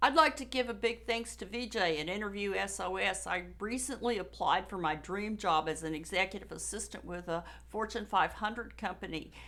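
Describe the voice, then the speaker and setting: Her medium-pitched voice carries vocal fry and a bright, sharp tone, with an American accent and lively intonation. She talks at a fairly quick pace with hardly any pauses. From United States. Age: old. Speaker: job seeker, coaching client. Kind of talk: testimonial.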